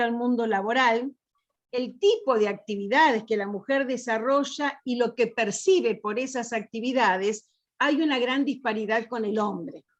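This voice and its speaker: The quiet background carries a woman's high-pitched voice. Her pace is fairly slow. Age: 60s. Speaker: accountant, panel speaker. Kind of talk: panel talk.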